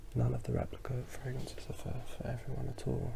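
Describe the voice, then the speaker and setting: Whispering and mumbling. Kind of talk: ASMR fragrance review. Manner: whispered.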